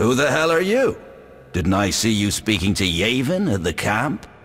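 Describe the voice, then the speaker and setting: At a moderate pace, someone performs in a put-on character voice. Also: man, medium pitch for a man. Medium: machinima.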